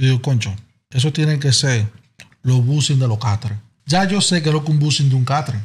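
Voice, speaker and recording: Somewhat breathy, a man keeps a fairly quick pace with long, frequent pauses, very even loudness and ordinary pitch variation. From Dominican Republic. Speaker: podcast guest. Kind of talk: casual chat. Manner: animated. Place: studio. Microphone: studio mic.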